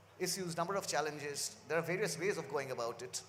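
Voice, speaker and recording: A man with a Bengali accent speaks at a fairly quick pace in a fairly high pitch, his intonation lively. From India, Kolkata (West Bengal). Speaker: university press publisher. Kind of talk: panel discussion. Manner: halting, many fillers.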